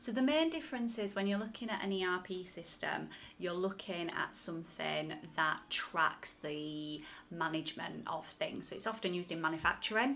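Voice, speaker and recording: A woman with an ordinary speaking voice talks at a moderate pace in a medium pitch, her intonation lively. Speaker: podcast co-host, business trainer. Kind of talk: casual chat, informative podcast conversation.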